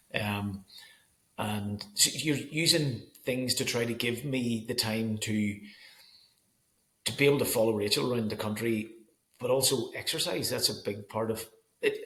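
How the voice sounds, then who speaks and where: Bright and sharp in tone, a voice with a Northern Irish accent moves at a moderate pace with ordinary pitch variation and long, frequent pauses. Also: man. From Northern Ireland. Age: 40s. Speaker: school photographer. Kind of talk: casual chat. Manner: halting.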